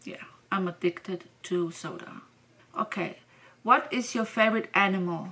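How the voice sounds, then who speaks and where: With a non-native accent, a woman speaks at a fairly slow pace and medium pitch with ordinary variation. Noticeable background noise can be heard. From Venezuela. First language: Spanish and German. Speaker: vlogger. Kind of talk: casual Q&A vlog. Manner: casual, hesitant with fillers.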